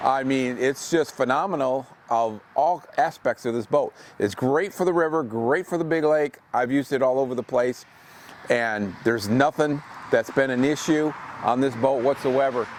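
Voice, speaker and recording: Noticeable background noise sits behind this man's voice. He speaks at a moderate pace, with medium pitch and ordinary variation. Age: 60s. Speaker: boat owner selling his boat. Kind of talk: walkaround sales video. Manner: casual, halting with fillers.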